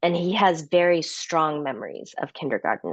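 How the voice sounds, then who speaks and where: Recorded with a dry, close sound and no echo, a woman with a Midwestern American accent talks at a fairly low pitch. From Chicago suburbs, US Midwest. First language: Korean. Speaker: author and speaker. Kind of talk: interview conversation.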